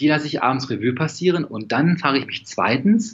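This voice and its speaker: Lively intonation and a moderate pace mark an unremarkable speaking voice. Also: man. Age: 40s. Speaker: stress and composure coach. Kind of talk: casual interview.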